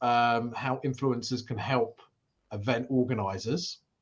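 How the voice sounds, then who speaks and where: In a British accent, the voice moves at a fairly slow pace with fairly even intonation. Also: man. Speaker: event industry show host. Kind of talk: live interview. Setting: live stream.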